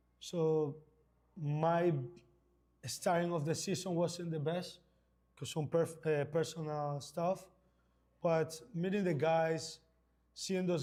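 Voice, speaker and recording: A man's fairly high-pitched, dark and mellow voice with a Spanish accent, monotone with flat intonation, at a fairly slow pace. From Ecuador. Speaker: indoor soccer player. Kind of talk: halftime interview.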